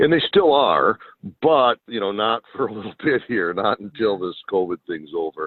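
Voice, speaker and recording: Lively intonation at a moderate pace. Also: man, medium pitch for a man. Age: 60s. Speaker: greenhouse farm owner. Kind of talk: casual interview chat. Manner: halting with many fillers.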